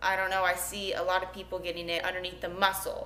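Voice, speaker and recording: A woman's bright, sharp voice with an American accent and audible room echo. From Florida, US (St. Petersburg); Florida. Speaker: vlogger and bikini competitor; vlogger. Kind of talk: vlog. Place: home room. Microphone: phone near.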